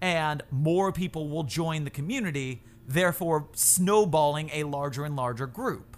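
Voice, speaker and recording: Here is a man with an ordinary speaking voice and an American accent. His pitch is fairly high, with ordinary variation, and his pace is moderate. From Florida. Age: 30s. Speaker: YouTuber and TikToker. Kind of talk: casual chat.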